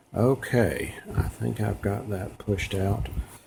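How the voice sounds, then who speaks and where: Male speaker amid noticeable background noise. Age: 60s. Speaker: sewing and embroidery tutorial maker. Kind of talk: tutorial; casual sign-off. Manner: casual, with many fillers.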